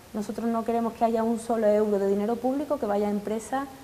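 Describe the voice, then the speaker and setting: With an Andalusian accent, a woman speaks in a fairly high pitch and fairly even intonation over noticeable background noise. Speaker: politician. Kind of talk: political interview answer.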